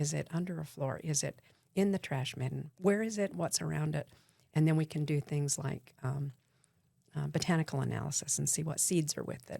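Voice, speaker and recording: A woman with an American accent speaks at a fairly quick pace in a very deep, low pitch, with vocal fry. Her tone is dark and mellow, and her pitch varies in an ordinary way. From Utah. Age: 70s. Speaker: archaeologist. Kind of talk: interview.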